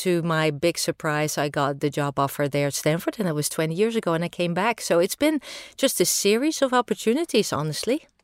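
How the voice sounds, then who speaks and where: In a Dutch accent, a woman with a fairly low pitch talks at a fairly quick pace with lively intonation, her voice dry and close with no echo on a very clean recording with a silent background. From Netherlands. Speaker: engineering professor. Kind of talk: interview.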